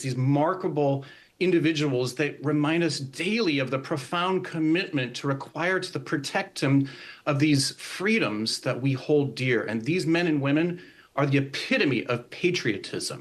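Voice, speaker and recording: The delivery is a normal speaking voice at a moderate pace. Pitch variation is ordinary. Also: man, fairly high pitch for a man. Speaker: army veteran and singer. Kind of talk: interview answer. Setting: TV remote interview.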